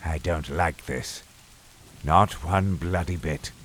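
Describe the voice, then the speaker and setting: In a raspy, put-on character voice, the speaker goes at a fairly slow pace. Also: man, very deep, low pitch for a man. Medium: audio drama. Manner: gruff, profane, sarcastic.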